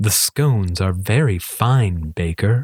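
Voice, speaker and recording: Using a put-on character voice, a man talks at a fairly slow pace in a fairly low pitch. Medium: read story. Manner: formal, stately.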